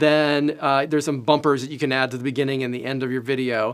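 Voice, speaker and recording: On a very clean recording, with the background silent, a man's voice comes through. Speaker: program orientation trainer. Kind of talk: training presentation. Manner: fast.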